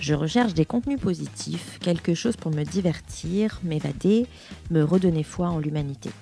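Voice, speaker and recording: Music plays in the background as a woman speaks at a moderate pace. Her very deep, low pitch carries lively intonation. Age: 30s. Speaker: podcast host. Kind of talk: scripted intro then interview.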